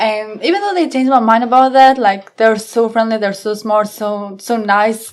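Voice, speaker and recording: A woman with a non-native accent, fairly high in pitch, at a moderate pace with hardly any pauses, over noticeable background noise. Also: fairly even intonation. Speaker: police officer. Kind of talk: casual interview chat.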